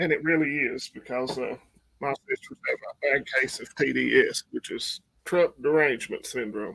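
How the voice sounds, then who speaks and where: A man with an Appalachian accent at a moderate pace, in a dry, close sound with no echo. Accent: Southern US (Appalachian). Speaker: prepper channel host. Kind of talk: live stream chat. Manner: yawning, sleepy.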